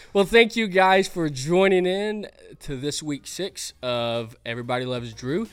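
Pitched high, a man talks at a fairly slow pace with very wide pitch swings. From Arkansas. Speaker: student show host. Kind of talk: casual interview.

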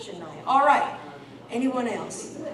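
Through noticeable background noise, a woman with a high pitch speaks at a fairly slow pace. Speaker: guest preacher. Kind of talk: sermon. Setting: church.

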